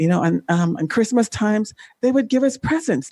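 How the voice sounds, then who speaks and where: With a dark, mellow tone, a woman's voice rises and falls in very wide pitch swings, heard in a dry, close sound with no echo. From Jamaica, then Canada from age 12. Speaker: former Olympian and life coach. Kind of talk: podcast interview, testimony. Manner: halting, many fillers.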